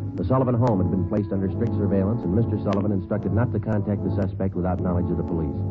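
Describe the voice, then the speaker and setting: Over music in the background, a man with a fairly low pitch and ordinary pitch variation talks at a very fast pace. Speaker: radio drama narrator and lead detective. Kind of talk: vintage radio crime drama narration.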